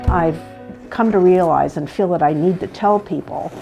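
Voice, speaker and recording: A woman's fairly low voice with ordinary pitch variation, against noticeable background noise. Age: 70s. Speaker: powerlifter and writer. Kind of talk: documentary interview. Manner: halting.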